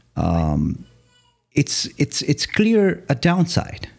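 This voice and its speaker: A man with a Romanian accent. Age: 30s. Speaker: podcaster and former music artist. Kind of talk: solo podcast monologue. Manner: halting, with frequent repetitions.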